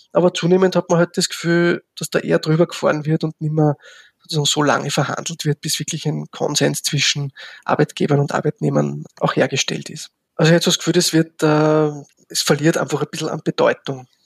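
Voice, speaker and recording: This man talks at a fairly quick pace, his pitch fairly high and his intonation flat and monotone. The sound is dry and close, with no echo. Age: 50s. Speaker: social work professor. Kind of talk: interview. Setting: remote recording. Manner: halting.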